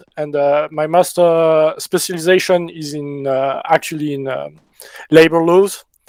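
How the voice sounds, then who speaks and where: A man with a French accent speaks at a fairly slow pace, his fairly high voice showing ordinary pitch variation. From France. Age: 20s. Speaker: milsim gamer, recent graduate. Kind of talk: podcast interview.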